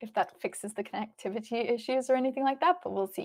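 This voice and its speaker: A woman with an Australian accent speaks at a fairly quick pace. Her pitch is high, with ordinary variation. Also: very clean recording, silent background. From Australia, Melbourne. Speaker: chess stream commentator. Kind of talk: live stream chat.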